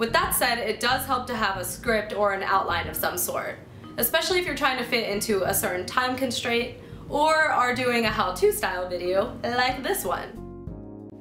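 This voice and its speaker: Music plays in the background and the room echo is audible. A woman speaks at a moderate pace in a high voice. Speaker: video host. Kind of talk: tutorial. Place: home room.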